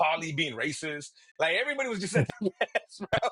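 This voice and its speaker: A man speaks in a high voice with a Spanish accent. His tone is animated, and his pitch swings very widely. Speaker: podcast co-host. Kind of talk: casual chat.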